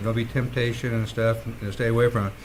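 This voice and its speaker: A man's voice with audible room echo. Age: 60s. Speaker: city council member. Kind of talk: council meeting debate. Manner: halting.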